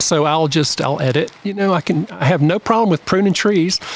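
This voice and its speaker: Over noticeable background noise, the speech moves at a fairly quick pace with ordinary pitch variation and a dry, close sound with no echo. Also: man. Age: 60s. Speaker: garden designer. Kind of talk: casual chat.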